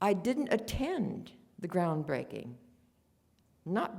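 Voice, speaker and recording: A woman with an American accent speaks at a medium pitch in a dark, mellow tone with vocal fry. Her pace is fairly slow, and her intonation is lively. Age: 90s. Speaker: war home front witness. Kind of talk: conference talk.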